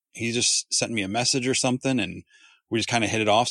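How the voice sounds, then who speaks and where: A man's plain, everyday voice with an American accent, at a fairly quick pace. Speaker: customizer and YouTube host. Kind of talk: casual chat.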